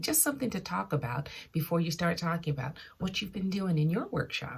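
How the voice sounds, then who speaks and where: A woman's somewhat breathy voice at a fairly low pitch, with lively intonation and a fairly quick pace. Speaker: sewing vlogger. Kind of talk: casual vlog talk. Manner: hesitant, many fillers; lowered voice briefly.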